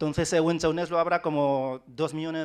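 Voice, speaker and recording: A man's fairly high voice at a moderate pace, ordinary pitch variation, very clean recording and silent background. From China, Wenzhou. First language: Wenzhounese (speaking Spanish). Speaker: writer. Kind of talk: panel talk. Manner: halting, many repetitions.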